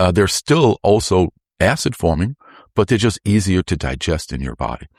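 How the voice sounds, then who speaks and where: Recorded very cleanly with a silent background and a dry, close sound with no echo, a man with a very deep, low pitch speaks at a moderate pace in an animated tone, with vocal fry and very wide pitch swings. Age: 60s. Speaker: lymphatic health expert. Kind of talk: interview.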